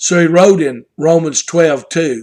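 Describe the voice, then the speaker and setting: Speaking at a fairly slow pace, a man with a strong Southern US accent has a fairly high pitch. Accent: Southern US, strong twang. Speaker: pastor. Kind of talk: devotional talk.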